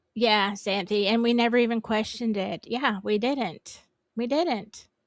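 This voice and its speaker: A woman with a Southern US accent, fairly high in pitch, fairly slow, with ordinary pitch variation, in a very clean recording with a silent background. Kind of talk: casual livestream chat. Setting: livestream. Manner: halting.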